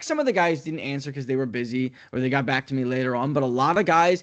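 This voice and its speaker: With an American accent, a man speaks in a fairly high pitch with ordinary pitch variation. The background is quiet. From US Northeast. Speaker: sports play-by-play broadcaster. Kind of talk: interview. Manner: fast.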